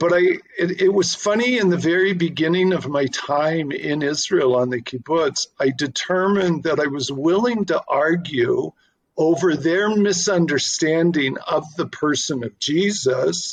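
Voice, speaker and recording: A man speaks at a fairly slow pace with a Canadian accent. His pitch is high, with ordinary variation. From Canada. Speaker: artist. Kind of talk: interview. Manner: halting.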